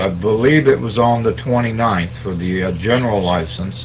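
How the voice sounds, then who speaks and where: A man with a medium pitch and ordinary pitch variation talks while noticeable background noise fills the recording. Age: 60s. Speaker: amateur radio operator. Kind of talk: radio net check-in, explaining. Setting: amateur radio net. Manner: hesitant, many fillers.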